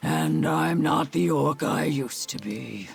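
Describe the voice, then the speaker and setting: Putting on a character voice, a man talks at a fairly slow pace in a very deep, raspy voice with very wide pitch swings. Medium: video game. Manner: devout, earnest.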